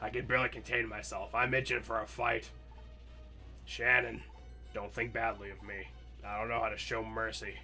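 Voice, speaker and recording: A man speaks in a put-on character voice at a moderate pace. Long, frequent pauses break up his lines while clear music plays in the background. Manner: eager for a fight.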